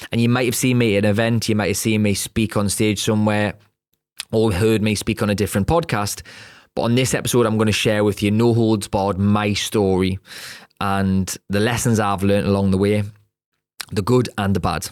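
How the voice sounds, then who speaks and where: Fairly quick, fairly low-pitched speech from a man with a Geordie accent, fairly even in intonation and very even in loudness, on a very clean recording with a silent background. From northern England, Newcastle upon Tyne. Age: 30s. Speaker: podcast host and property entrepreneur. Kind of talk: personal story monologue.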